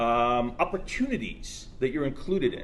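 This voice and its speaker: A man is speaking. He has an American accent. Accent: sounds American. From Soviet Ukraine, then US from age 12. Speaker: tech entrepreneur. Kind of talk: speech at launch event. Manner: halting, many fillers.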